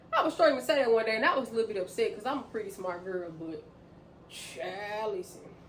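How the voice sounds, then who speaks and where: A woman with a fairly high pitch and very wide pitch swings speaks amid noticeable background noise and audible room echo. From US South, Memphis, Tennessee. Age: 30s. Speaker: vlogger. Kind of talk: casual vlog talk to camera. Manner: fast talker; loud, laughs a lot.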